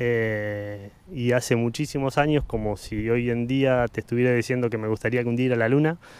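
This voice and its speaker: A man with a plain, everyday voice of medium pitch talks at a moderate pace with fairly even intonation, the sound dry with no echo. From Argentina, Buenos Aires province. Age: 40s. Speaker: photographer; interview guest. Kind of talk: casual chat. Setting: outdoors in a park. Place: garden. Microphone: handheld.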